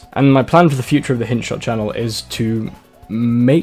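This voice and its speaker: Music plays in the background as someone speaks at a moderate pace with a Nottingham accent. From Nottingham, England.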